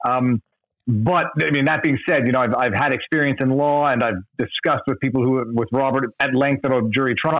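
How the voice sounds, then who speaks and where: A man speaks in an unremarkable speaking voice at a medium pitch and a fairly quick pace. His pitch varies in an ordinary way, and his loudness stays very even. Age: 40s. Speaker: YouTuber who makes videos about law. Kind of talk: casual chat.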